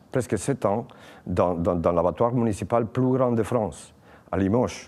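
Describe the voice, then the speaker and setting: His tone comes across as dark and mellow. The man's pitch sits fairly low. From Spain. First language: Spanish (speaking French). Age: 40s. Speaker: political candidate, former slaughterhouse worker. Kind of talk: campaign testimony. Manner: halting, many repetitions and hesitations.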